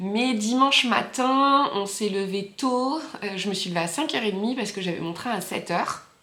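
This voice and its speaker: A woman at a medium pitch talks at a fairly slow pace with ordinary pitch variation, with audible room echo around her. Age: 30s. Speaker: knitting vlogger. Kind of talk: casual vlog chat. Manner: hesitant, many fillers.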